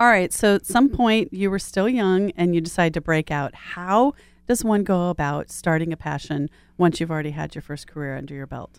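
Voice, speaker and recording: Fairly quick and enthusiastic, a woman speaks in a fairly low voice with lively intonation and big swings in loudness. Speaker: podcast host. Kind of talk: interview.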